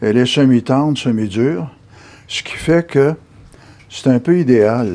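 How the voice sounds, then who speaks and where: A man's very slow speech with lively intonation and long, frequent pauses, over noticeable background noise. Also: medium pitch for a man. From Quebec, Gatineau (Hull sector). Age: 70s. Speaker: amateur sculptor. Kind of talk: interview and demonstration. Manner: hesitant, with frequent fillers.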